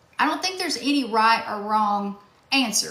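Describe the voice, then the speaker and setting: Her fairly high voice has ordinary pitch variation as the woman speaks at a moderate pace, with audible room echo around her. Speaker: self-help workshop host. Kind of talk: live-stream workshop. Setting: TikTok live stream.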